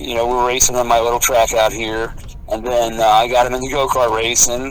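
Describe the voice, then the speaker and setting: Here a man speaks fairly quickly at a medium pitch, his intonation monotone and flat. Noticeable background noise and audible room echo fill the recording. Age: 60s. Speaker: heavy metal drummer. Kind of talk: casual interview chat.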